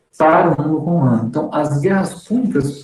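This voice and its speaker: A man does the talking. His pitch shows ordinary variation. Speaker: seminary teacher. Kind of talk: lecture.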